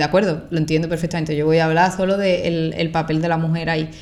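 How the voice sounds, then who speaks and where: Talking at a very fast pace, a woman with an Andalusian accent has a very deep, low pitch. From Andalusia, Spain. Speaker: content creator. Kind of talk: podcast interview answer. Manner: casual, conversational.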